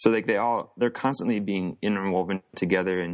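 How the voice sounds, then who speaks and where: A man's normal speaking voice, fairly low in pitch, with fairly even intonation and a quiet background. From US Midwest, central Wisconsin. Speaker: artist. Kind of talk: interview.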